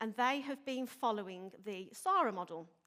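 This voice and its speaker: A woman with a Birmingham accent at a fairly high pitch and a moderate pace. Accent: Birmingham (Brummie). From Birmingham, England. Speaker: police inspector, intelligence manager. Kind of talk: conference presentation. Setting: stage with audience.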